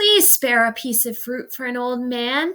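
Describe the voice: Using a put-on character voice, a woman sounds creaky at a high pitch with lively intonation.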